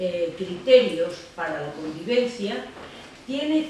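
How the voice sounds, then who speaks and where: A woman talks at a very slow pace with very wide pitch swings. Noticeable background noise and audible room echo are present. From Andalucía, Spain. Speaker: law philosophy professor, euthanasia advocate. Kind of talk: lecture.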